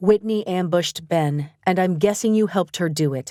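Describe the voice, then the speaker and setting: In a put-on character voice at a medium pitch, a woman talks at a moderate pace, captured dry and close with no echo in a very clean recording with a silent background. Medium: read story.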